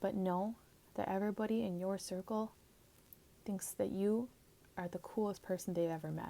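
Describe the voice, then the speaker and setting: A soft-spoken woman is whispering. She leaves long, frequent pauses. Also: moderate pace. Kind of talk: ASMR comforting talk. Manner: soft-spoken, whispered.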